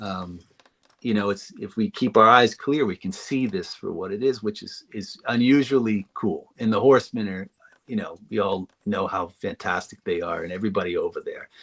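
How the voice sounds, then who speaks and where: The speaker has a slight northeastern US accent and talks at a moderate pace. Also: man. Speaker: toy designer. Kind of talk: casual chat. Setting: live stream.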